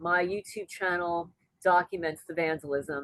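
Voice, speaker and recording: An unremarkable speaking voice at a fairly slow pace, dry and close with no echo. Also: woman. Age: 60s. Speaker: homesteading YouTuber and interviewee. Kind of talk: casual interview, personal testimony.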